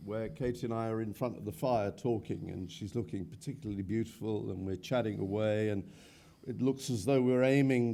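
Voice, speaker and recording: A man's medium-pitched voice has a dark, mellow tone and ordinary pitch variation. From Wales. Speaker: actor. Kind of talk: panel interview at fan convention. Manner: halting, many fillers.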